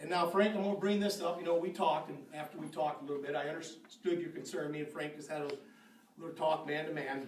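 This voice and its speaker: The speech moves at a very fast pace. There is audible room echo along with noticeable background noise. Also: man, fairly high pitch for a man. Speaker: park board member. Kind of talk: public meeting speech. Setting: city board meeting with audience. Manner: loud; animated.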